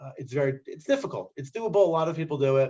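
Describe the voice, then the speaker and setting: A man talks very fast in a New Jersey accent. His tone is dark and mellow. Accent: New Jersey American. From US Northeast, New Jersey. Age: 40s. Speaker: scribe and immigrant. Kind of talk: interview.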